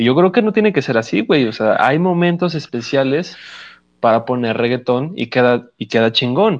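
A man with a plain, everyday voice speaks at medium pitch and a moderate pace. The background is quiet. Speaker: podcast co-host. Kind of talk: casual chat.

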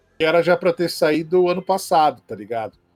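Dry, close sound with no echo at a moderate pace, with music in the background. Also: man. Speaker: comic book expert and drawing teacher. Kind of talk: casual chat.

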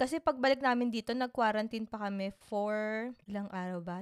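The recording is very clean, with a silent background. It carries a normal speaking voice at a moderate pace with ordinary pitch variation. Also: woman. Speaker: podcast co-host. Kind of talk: casual chat.

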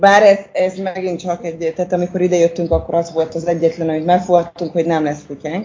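A woman speaks at a fairly quick pace in a fairly low pitch, with monotone, flat intonation. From Hungary, Székesfehérvár. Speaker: expat mother who moved abroad. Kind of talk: interview about living abroad.

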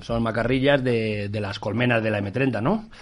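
This is a normal speaking voice at a moderate pace. Pitch variation is ordinary. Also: man. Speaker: anthropologist and writer. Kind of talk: casual chat. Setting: studio.

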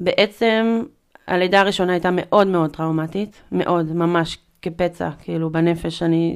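A woman speaks in an ordinary speaking voice, fairly low in pitch, with fairly even intonation. The recording is very clean, with a silent background. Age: 30s. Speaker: artist and mother sharing postpartum depression experience. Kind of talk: personal testimony in casual interview. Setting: in-person studio conversation.

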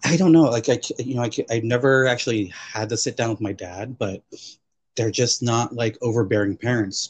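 A man with an American accent talks at a moderate pace and a medium pitch. His voice is somewhat breathy, with ordinary pitch variation. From US West Coast, Chuukese family. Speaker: podcast guest. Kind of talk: casual chat.

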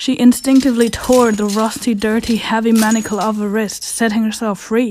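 Her fairly high voice stays monotone and flat as the woman speaks. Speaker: audio drama narrator. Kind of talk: dramatic horror-story narration, suspense building. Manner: tense, hushed storytelling pace; frantic overlapping panic in character voices.

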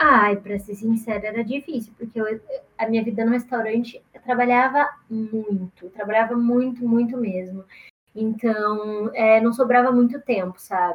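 A woman speaks at a moderate pace in a somewhat breathy, fairly high voice. Her intonation is fairly even, though her loudness swings widely. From Brazil, interior of São Paulo state. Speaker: musician and content creator. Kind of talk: casual interview.

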